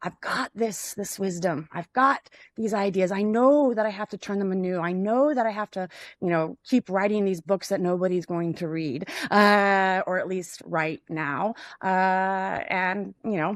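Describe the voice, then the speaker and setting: A woman with an American accent speaks at medium pitch with ordinary pitch variation. Her fairly slow delivery sounds dry and close, with no echo. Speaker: podcast host. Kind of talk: philosophical discussion. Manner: halting, many fillers.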